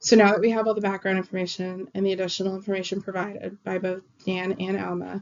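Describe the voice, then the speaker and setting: At a very fast pace, a woman talks with hardly any pauses. Her medium-pitched voice has monotone, flat intonation. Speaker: student. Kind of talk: class presentation. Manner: halting, with fillers.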